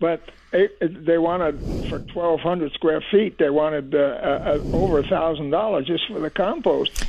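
Speaking at a moderate pace over noticeable background noise, a man with an American accent uses a high pitch and fairly even intonation. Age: 80s+. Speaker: retired caller. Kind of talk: phone-in question. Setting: phone call.

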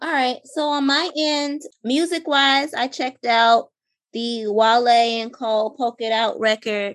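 A woman talks fairly slowly in a high pitch with ordinary pitch variation. The background is quiet. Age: 30s. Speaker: podcast co-host. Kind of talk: casual chat.

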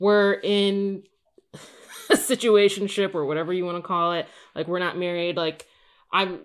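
In an ordinary speaking voice, a woman talks at a fairly slow pace with medium pitch and fairly even intonation. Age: 30s. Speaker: podcast guest. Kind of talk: casual chat.

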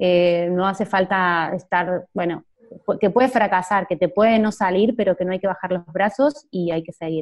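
With a plain, everyday voice, a woman of medium pitch talks at a moderate pace with ordinary pitch variation. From Argentina. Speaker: digital entrepreneur, social media manager. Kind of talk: interview.

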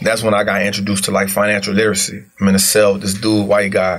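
Noticeable background noise runs under this man's voice. He talks at a fairly quick pace, with audible room echo. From US South, New Orleans. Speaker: former street hustler turned investor. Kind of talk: casual interview.

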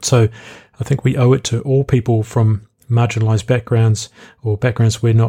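With a New Zealand accent, a man speaks in a dark, mellow, somewhat breathy tone with fairly even intonation and a dry, close sound with no echo. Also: very clean recording, silent background. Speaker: podcast host; student. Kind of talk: reading an essay mixed with casual monologue. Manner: conversational with ums and ahs.

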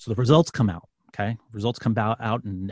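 A man speaks with a New York accent and fairly even intonation. The sound is dry and close, with no echo. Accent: New York City. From New York City. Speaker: former police sergeant and podcast host. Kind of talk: testimony.

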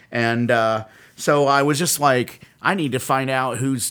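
A man talks in a plain, everyday voice at medium pitch, with ordinary pitch variation. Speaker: podcast co-host, metal fan. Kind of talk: casual banter.

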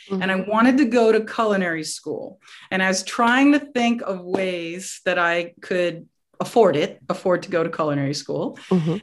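A woman's medium-pitched voice with an American accent, an unremarkable speaking voice with lively intonation at a moderate pace. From New York area. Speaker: chef. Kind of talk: casual chat.

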